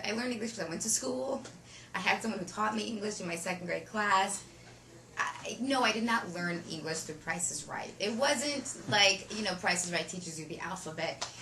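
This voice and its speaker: With lively intonation and a medium pitch, a woman talks at a fairly quick pace over noticeable background noise. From Ukraine. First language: Russian. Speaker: actress. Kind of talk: interview answer.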